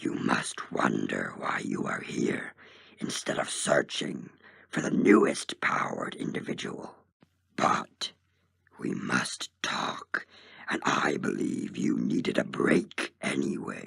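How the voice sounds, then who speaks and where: A raspy, put-on character voice moves along at a fairly slow pace. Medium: read story. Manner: powerful, commanding.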